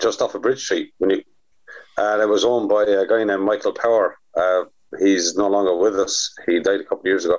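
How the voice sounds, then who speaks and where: A man talks at a fairly quick pace and very even loudness with a Waterford accent. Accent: Waterford Irish. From Ireland, Waterford. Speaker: drummer and former promoter. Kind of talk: casual chat.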